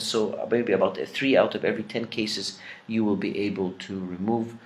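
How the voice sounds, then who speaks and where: A man with an Arabic accent talks at a moderate pace. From Egypt. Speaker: dentistry professor; dentist lecturer. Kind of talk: lecture. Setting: pre-recorded lecture. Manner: halting with many fillers. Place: home room. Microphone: webcam.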